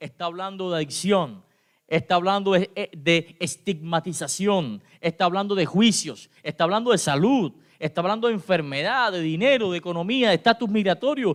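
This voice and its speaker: Recorded very cleanly against a silent background with a dry, close sound and no echo, a man speaks at a fairly slow pace with a high pitch and very wide pitch swings. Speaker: pastor. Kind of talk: sermon. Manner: halting.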